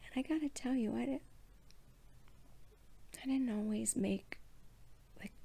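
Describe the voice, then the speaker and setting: The woman's voice is soft-spoken. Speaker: professional cuddler, founder of a cuddle business. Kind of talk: bedtime story told from personal memory. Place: home room. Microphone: phone near.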